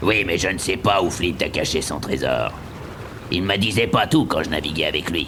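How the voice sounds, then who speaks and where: A man's put-on character voice, very deep and low, at a moderate pace over loud background noise. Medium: audio drama. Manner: hearty, laughing.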